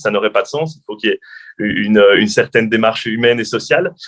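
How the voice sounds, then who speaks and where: A man talks at a fairly quick pace. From French-speaking Belgium. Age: young. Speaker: journalist and TV presenter. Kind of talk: interview. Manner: hesitant, many fillers.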